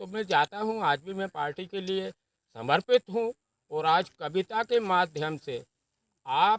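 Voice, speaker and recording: A man's high-pitched voice, with ordinary pitch variation, comes through in a dry, close sound with no echo. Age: 70s. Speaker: farmer and senior party politician, poet. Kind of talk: interview.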